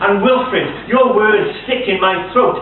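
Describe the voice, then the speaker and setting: Someone with a Welsh accent speaks over noticeable background noise. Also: man. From Wales. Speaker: poet. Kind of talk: poetry reading.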